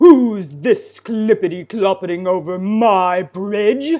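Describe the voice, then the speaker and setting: Someone bellows in a put-on character voice at a fairly high pitch and a fairly slow pace. The recording is very clean, with a silent background. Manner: roaring, menacing.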